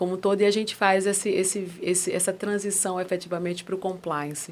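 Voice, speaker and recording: This woman talks at a medium pitch in a Pernambuco accent. The recording is very clean, with a silent background. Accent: Pernambuco (northeastern Brazilian). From Brazil, Pernambuco (Recife). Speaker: ESG governance and compliance specialist. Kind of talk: podcast interview.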